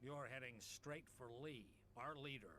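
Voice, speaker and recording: There is clear background noise behind this recording. A man does a put-on character voice at medium pitch and a moderate pace. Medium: video game.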